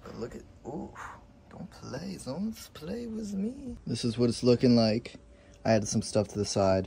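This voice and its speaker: A man talks at a moderate pace with big swings in loudness. Light background noise is present. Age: 20s. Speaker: YouTuber. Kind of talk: casual vlog narration. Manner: animated. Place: garage. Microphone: phone near.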